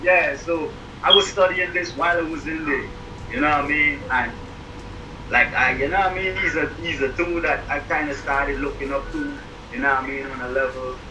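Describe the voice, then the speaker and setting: A man with a Guyanese accent speaks at a fairly quick pace in a fairly high pitch, with ordinary pitch variation. Noticeable background noise and audible room echo fill the recording. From Guyana. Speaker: rapper. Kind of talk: podcast interview.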